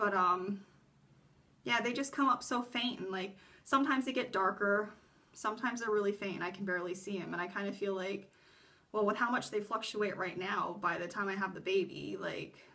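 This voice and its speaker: A woman with a plain, everyday voice, medium pitch and a fairly quick pace. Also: ordinary pitch variation. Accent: American. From US. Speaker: vlogger. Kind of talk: casual vlog talk. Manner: filler-heavy, rambling speech.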